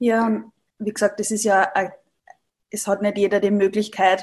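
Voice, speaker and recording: A woman with a medium-pitched voice speaks in a flat monotone. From Upper Austria. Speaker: Ayurveda practitioner, yoga teacher. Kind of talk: interview, personal story.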